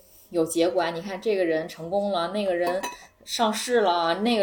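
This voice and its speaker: Her pitch varies in an ordinary way as the woman talks at a fairly slow pace. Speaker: returning guest. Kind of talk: casual chat. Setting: living room at a friend's home.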